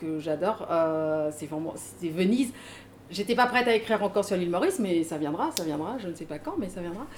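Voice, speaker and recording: An unremarkable speaking voice with lively intonation. The pace is fairly quick. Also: woman. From Mauritius. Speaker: author and trainer. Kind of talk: casual panel talk at a book event.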